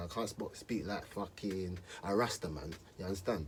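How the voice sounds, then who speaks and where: A man speaks with an East London accent. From East London, England. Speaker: rapper. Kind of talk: casual monologue to camera. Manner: casual, slangy street speech.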